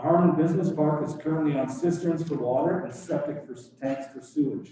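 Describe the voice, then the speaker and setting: Amid noticeable background noise and audible room echo, a man with a fairly high pitch talks at a fairly quick pace, with fairly even intonation and big swings in loudness. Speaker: business delegate presenting to council. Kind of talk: prepared presentation to town council. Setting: council chamber meeting. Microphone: no microphone, speaking up to room.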